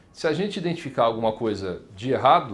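This man's voice carries vocal fry. His intonation is lively. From Paraná, Brazil (Maringá); Paraná, Brazil. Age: 30s. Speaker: state legislator; politician interviewee. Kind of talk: interview. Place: office.

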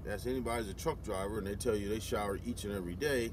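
A man is heard in a dry sound with no echo, but with noticeable background noise. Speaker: long-haul truck driver vlogger. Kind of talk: casual vlog chat. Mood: reflective, somewhat frustrated. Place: car. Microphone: phone near.

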